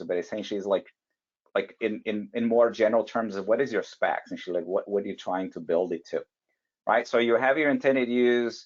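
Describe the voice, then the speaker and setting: This man has a fairly low pitch, ordinary pitch variation, and a non-native accent. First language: not English. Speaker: validation and compliance expert, webinar panelist. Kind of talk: webinar presentation. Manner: halting, many fillers and restarts.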